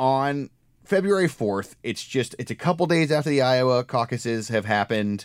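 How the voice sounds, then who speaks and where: Here is a man with a normal speaking voice, medium in pitch, with lively intonation at a moderate pace. The recording is very clean, with a silent background. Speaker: podcast host and political reporter. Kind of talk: casual political podcast chat. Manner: casual, joking, laughs often.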